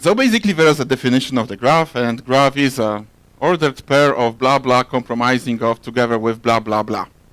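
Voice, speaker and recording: Speaking at a fairly quick pace with a Polish accent, the man has a medium pitch and ordinary pitch variation. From Poland. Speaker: software architect. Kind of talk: conference talk. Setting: stage with audience. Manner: fast.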